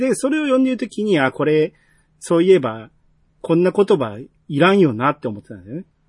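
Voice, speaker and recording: In a Kansai accent, a man with a high pitch talks at a fairly quick pace, his pitch swinging very widely and his loudness rising and falling sharply, in a dry, close sound with no echo over a quiet background. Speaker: podcast host. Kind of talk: casual chat.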